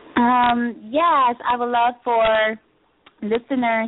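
In an American accent, a woman is speaking. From Chicago, inner city. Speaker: fashion entrepreneur. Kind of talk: radio interview. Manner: hesitant, many fillers.

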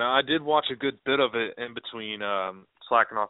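A man talks at a fairly quick pace with ordinary pitch variation in a normal speaking voice. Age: 20s. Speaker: sports podcast co-host. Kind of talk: casual chat.

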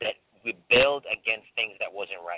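A man talks with a slight Caribbean accent. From Saint Thomas, US Virgin Islands. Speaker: business professor and entrepreneur. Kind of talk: interview. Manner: halting.

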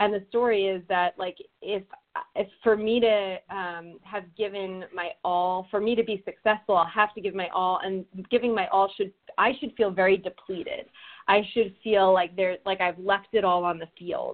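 An ordinary speaking voice with an American accent, moderate pace and fairly even intonation. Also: woman, medium pitch for a woman. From New Jersey. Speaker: personal growth coach. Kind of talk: casual interview chat.

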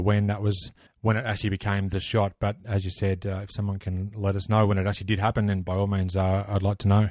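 A man with an Australian accent speaks very fast in a fairly low pitch with monotone, flat intonation. The recording is very clean, with a silent background. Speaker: basketball history podcaster. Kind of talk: casual interview.

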